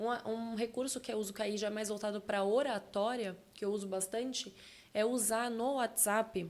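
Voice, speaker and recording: A woman's fairly high voice, moderate in pace, with monotone, flat intonation. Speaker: communication and public speaking specialist. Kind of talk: podcast interview.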